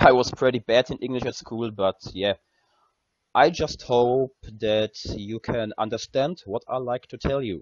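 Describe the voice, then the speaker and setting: A man's medium pitch with a German accent, ordinary pitch variation and a fairly slow pace. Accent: German accent, noticeable. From Germany. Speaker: gaming content creator. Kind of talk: tutorial. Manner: halting, many fillers.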